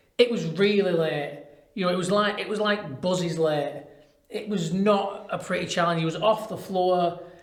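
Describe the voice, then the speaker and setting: A man with a high pitch and fairly even intonation, in audible room echo. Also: moderate pace. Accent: Lancashire. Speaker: football podcast host. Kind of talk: casual chat.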